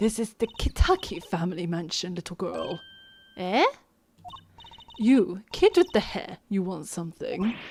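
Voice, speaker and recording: A raspy, put-on character voice from a woman, medium in pitch, at a moderate pace with long, frequent pauses. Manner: gruff, intimidating.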